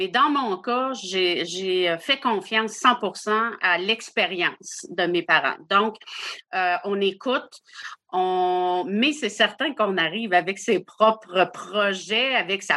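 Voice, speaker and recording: Speaking at a very slow pace, a woman of medium pitch uses a bright, sharp tone with ordinary pitch variation. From Quebec, Île d'Orléans. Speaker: campground owner. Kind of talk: interview conversation.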